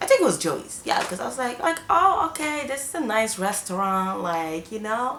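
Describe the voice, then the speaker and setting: Animated and fairly high-pitched, a woman speaks at a moderate pace with very wide pitch swings, over noticeable background noise and audible room echo. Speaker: YouTuber. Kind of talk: storytime vlog.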